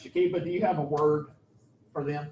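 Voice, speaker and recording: Noticeable background noise behind a man's fairly high-pitched, fairly quick speech with ordinary pitch variation. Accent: Southern US. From US South, Georgia. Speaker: professor. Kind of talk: lecture.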